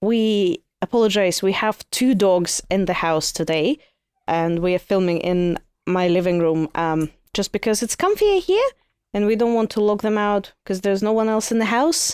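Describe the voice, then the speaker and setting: A woman speaks at a medium pitch and a moderate pace, with ordinary pitch variation. The recording is very clean with a silent background and a dry, close sound with no echo. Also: very even loudness. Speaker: podcast co-host. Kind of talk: casual chat. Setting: home living room. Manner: loud.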